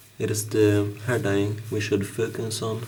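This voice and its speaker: Over music in the background, a man speaks at a very slow pace, with audible room echo. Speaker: hair tutorial vlogger. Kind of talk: tutorial. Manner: halting, many fillers.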